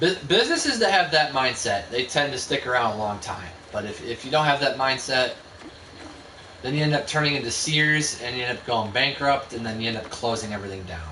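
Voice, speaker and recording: A man mumbling at a fairly quick pace with an American accent, medium pitch and lively intonation, amid noticeable background noise and audible room echo. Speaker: video game streamer. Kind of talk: gameplay live stream commentary. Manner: stuttering; fast, mumbling.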